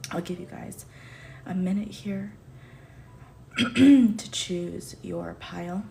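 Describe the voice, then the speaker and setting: A woman speaks at a very slow pace, leaving long, frequent pauses. Her loudness swings widely, and the room echo is audible. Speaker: tarot reader. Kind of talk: tarot reading to camera. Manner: soft.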